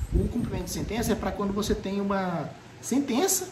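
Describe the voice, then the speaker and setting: Noticeable background noise beneath fairly quick talk. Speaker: law professor. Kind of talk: lecture. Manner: fast; animated.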